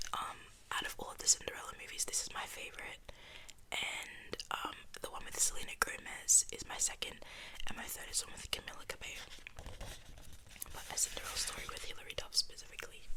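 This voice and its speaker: A woman whispering, with long, frequent pauses and noticeable background noise. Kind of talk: ASMR whisper video, casual talk to camera. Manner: whispered, soft.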